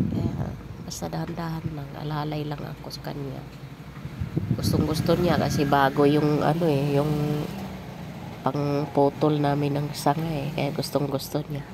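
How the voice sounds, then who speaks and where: A woman with very deep, low pitch speaks at a fairly slow pace in a monotone, flat intonation, with big swings in loudness and long, frequent pauses, amid noticeable background noise and audible room echo. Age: 50s. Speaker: vlogger and grandmother. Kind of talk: casual vlog talk.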